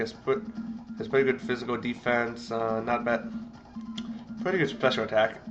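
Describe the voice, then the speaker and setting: Music plays behind a man who talks at a moderate pace with very wide pitch swings. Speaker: video game commentator. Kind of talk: let's play game commentary. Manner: halting, stuttering.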